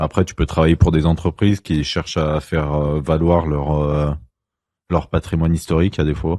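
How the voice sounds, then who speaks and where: A man with a very deep, low pitch and a dark, mellow tone speaks at a moderate pace in a flat monotone. The recording is very clean with a silent background and a dry, close sound with no echo. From France, Lyon area (Ain). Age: 20s. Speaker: podcast guest, baker with a history degree. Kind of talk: casual chat. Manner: hesitant, many fillers.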